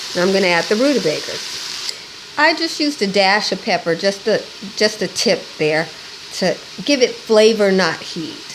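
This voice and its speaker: Over noticeable background noise, a woman with an American accent speaks at a moderate pace and medium pitch, with lively intonation and long, frequent pauses. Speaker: cooking channel host. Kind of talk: cooking tutorial. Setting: home kitchen. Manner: casual, chatty.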